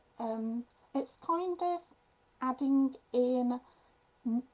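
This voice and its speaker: With a strong Midlands accent, a woman speaks in a dark, mellow tone at a high pitch, her intonation lively. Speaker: papercraft designer. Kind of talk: tutorial. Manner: casual, hesitant.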